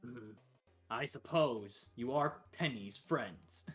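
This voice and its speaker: A man puts on a booming character voice at medium pitch, talking very slowly. Music plays in the background. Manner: imposing, grave.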